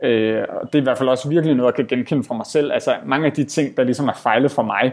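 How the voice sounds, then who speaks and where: A man talks with fairly even intonation at a medium pitch. No background sound intrudes on this very clean recording. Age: 30s. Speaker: entrepreneur and author. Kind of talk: interview. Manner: halting, many fillers.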